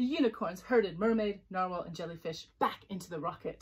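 The voice is plain reading aloud. It simply reads the text.

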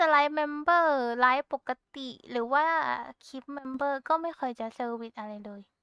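Her voice is raised and projected, high-pitched with lively intonation. The sound of this woman is dry and close with no echo. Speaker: Vtuber. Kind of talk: casual talk to camera, rambling. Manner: cute, chatty.

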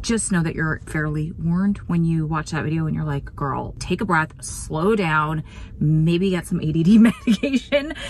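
In a dry recording with no echo and light background noise, a woman with a fairly low pitch and ordinary pitch variation speaks at a moderate pace. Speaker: true crime vlogger. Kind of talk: casual vlog chat. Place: car. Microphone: phone near.

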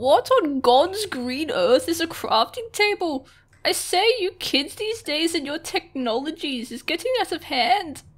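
A woman uses a put-on character voice at an extremely high pitch. She talks at a fairly slow pace. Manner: prim, scolding old-fashioned.

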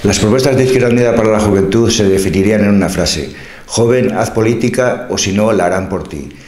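The speech moves at a fairly quick pace with ordinary pitch variation, and audible room echo surrounds it. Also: man, fairly low pitch for a man. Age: 60s. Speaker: local politician; election candidate. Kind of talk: interview answers, campaign proposals; interview answer. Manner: halting, with frequent fillers. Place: studio.

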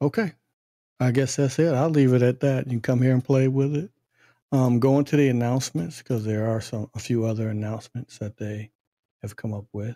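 Soft-spoken and dark, mellow in tone, a man talks with ordinary pitch variation in a dry, close sound with no echo, on a very clean recording with a silent background. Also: medium pitch for a man. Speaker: tech tutorial youtuber. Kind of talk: screen-recorded software tutorial. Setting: at home at night. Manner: casual, halting with fillers.

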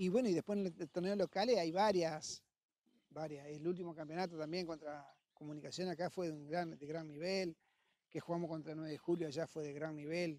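A man speaks at a fairly quick pace in a fairly high voice with a dark, mellow tone and fairly even intonation, the sound dry with no echo. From Argentina, Entre Ríos (San José de Feliciano); Entre Ríos, Argentina. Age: 50s. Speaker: football coach and former player; football coach. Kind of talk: interview. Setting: football stadium. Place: stadium. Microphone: handheld.

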